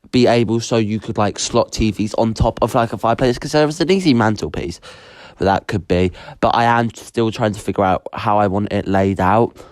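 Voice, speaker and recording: A man at medium pitch, fairly quick in pace, with ordinary pitch variation, in a very clean recording with a silent background. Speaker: gaming YouTuber. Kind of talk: gameplay voiceover commentary. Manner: fast; casual, halting with fillers.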